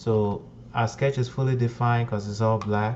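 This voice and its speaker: A man's voice is fairly low in pitch and somewhat breathy. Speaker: CAD software tutorial maker. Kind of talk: tutorial. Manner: slow, deliberate explanation.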